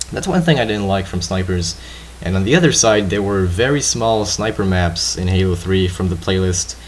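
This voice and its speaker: Over noticeable background noise and audible room echo, a man with a French accent talks at a moderate pace with a very deep, low pitch and ordinary pitch variation. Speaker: gaming commentator. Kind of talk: gameplay commentary chat.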